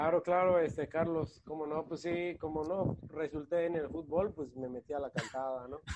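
With an ordinary speaking voice, a man talks at a fairly high pitch and a moderate pace, his intonation fairly even and hardly any pauses. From Mexico, Guadalajara then Mérida (Yucatán). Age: 30s. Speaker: singer-songwriter and former amateur footballer. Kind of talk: casual chat.

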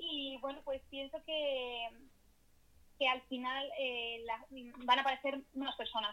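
Speaking at a very slow pace with long, frequent pauses, a woman uses a high pitch and fairly even intonation. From Spain, Madrid. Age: 20s. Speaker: youtuber and content creator. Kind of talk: casual interview.

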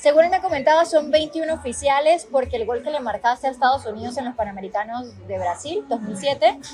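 A woman with a high pitch speaks at a moderate pace over noticeable background noise. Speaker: podcast host. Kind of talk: interview. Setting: outdoors at a football venue.

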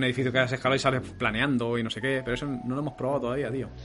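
Music plays behind a man speaking at a medium pitch. His intonation stays monotone and flat. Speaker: podcast host. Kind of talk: casual chat. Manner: fast.

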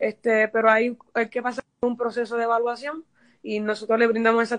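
In a dry, close recording with no echo, a woman with a fairly high pitch speaks at a fairly quick pace in a flat, monotone way. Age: 30s. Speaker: mayoral candidate, accountant. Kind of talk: radio interview. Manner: hesitant, many fillers.

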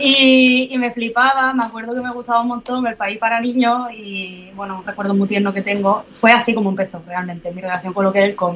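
A woman with an ordinary speaking voice talks at a fairly quick pace, with hardly any pauses. Her pitch is fairly high, with ordinary variation. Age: 30s. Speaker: comic artist. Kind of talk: interview.

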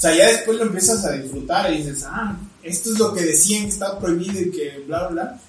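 Amid noticeable background noise and audible room echo, a man with a Mexican accent speaks fairly quickly at a high pitch with ordinary pitch variation. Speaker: podcast co-host. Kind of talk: casual chat.

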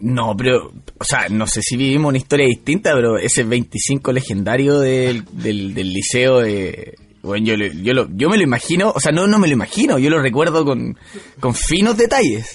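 A man with an ordinary speaking voice talks at a moderate pace and medium pitch, using lively intonation. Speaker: podcast co-host. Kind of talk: casual chat.

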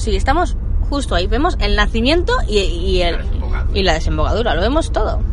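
A moderate pace, with audible room echo and noticeable background noise. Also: woman. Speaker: travel podcast host. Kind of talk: travel vlog narration; sponsor mention.

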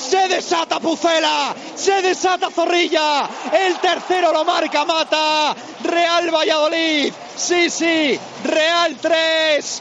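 Against crowd noise in the background, a man speaks at a very slow pace in an extremely high pitch, with monotone, flat intonation and very even loudness. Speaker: radio sports commentator. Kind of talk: live football commentary, play-by-play. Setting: radio broadcast from stadium.

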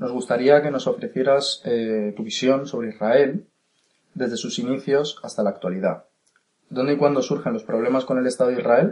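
A man speaks at a moderate pace with medium pitch and ordinary pitch variation. His is a plain, everyday voice. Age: young. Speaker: podcast interviewer. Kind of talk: interview.

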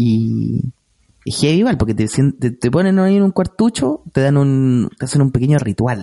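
A man speaks with a Chilean accent and a dark, mellow tone. His pace is fairly slow, but his intonation is lively. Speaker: podcast co-host. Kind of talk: casual comedic chat.

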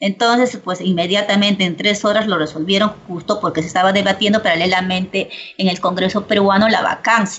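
A woman with a medium pitch and fairly even intonation keeps her loudness very even, though noticeable background noise is present. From Peru, Ayacucho. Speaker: political analyst. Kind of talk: interview. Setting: video call.

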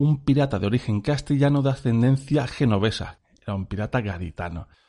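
Medium pitch from a man with a dark, mellow tone, ordinary pitch variation and a fairly quick pace. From Spain, Cádiz. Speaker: podcast co-host. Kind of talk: casual chat.

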